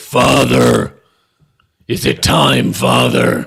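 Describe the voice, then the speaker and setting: A booming, raspy, put-on character voice. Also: man, very deep, low pitch for a man. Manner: addressing a father, questioning.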